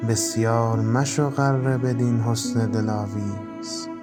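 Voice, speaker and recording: With music in the background, a man speaks at a very slow pace in a fairly low pitch with ordinary pitch variation. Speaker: poetry reciter. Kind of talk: poetry reading with background music.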